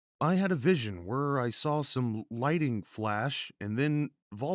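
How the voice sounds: A natural reading voice carries lively intonation. The background is quiet.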